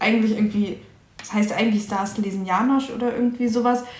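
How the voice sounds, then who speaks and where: There is noticeable background noise and audible room echo. A woman speaks at a fairly high pitch with fairly even intonation. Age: 20s. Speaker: podcast co-host. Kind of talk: casual chat.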